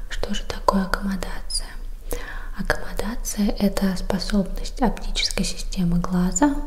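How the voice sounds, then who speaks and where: A soft-spoken voice moves at a fairly slow pace over light background noise. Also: woman. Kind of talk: educational talk. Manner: soft, quiet ASMR speaking voice. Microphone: studio mic.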